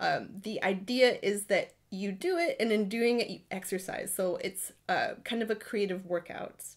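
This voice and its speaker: A woman with an American accent, fairly high in pitch, with ordinary pitch variation, hardly any pauses and a moderate pace. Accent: American accent noticeable in Britain. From Ohio, US. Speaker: writing workshop leader. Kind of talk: live-streamed guided writing session. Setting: home writing room, live stream. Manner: casual, chatty with fillers.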